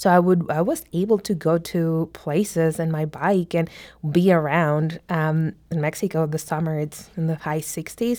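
In a non-native accent, a woman speaks at a moderate pace with a dark, mellow tone, fairly low pitch and fairly even intonation, on a very clean recording with a silent background. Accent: foreign-accented English. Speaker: immigrant mentee in a mentoring program. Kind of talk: radio interview.

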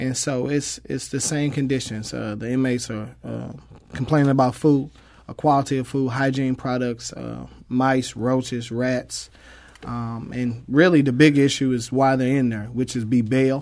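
A man's medium-pitched, fairly even voice with an American accent at a moderate pace, a normal speaking voice. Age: young. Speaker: community activist. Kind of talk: radio interview. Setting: studio.

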